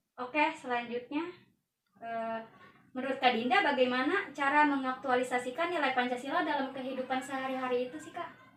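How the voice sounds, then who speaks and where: A woman with a high voice talks at a fairly quick pace and keeps her intonation fairly even. Her loudness swings widely, and the room echo is audible. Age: young. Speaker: university student interviewer. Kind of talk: student interview assignment.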